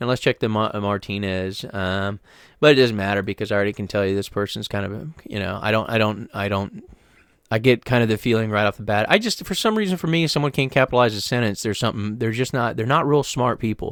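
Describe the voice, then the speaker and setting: Talking very fast with an American accent, a man uses a fairly low pitch and ordinary pitch variation. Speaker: freelance web developer giving tips. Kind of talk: screen-share tutorial. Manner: rambling, casual with many fillers.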